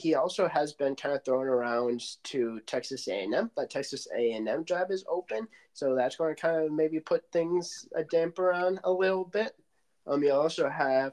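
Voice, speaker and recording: A man's unremarkable speaking voice, fairly high in pitch, with an American accent, dry and close with no echo against a quiet background. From Michigan. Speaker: sports podcast host. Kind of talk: casual chat.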